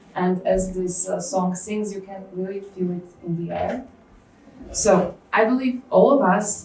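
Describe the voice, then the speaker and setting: A woman with a Slovak accent at medium pitch and a fairly slow pace, amid noticeable background noise and audible room echo. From Slovakia. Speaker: cognitive scientist. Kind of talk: conference lecture. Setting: stage with audience. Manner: hesitant, many fillers.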